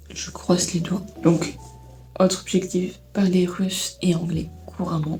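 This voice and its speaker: A soft-spoken woman talks at a fairly slow pace. Music plays in the background. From Belgium. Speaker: vlogger. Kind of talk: casual vlog chat. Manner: halting.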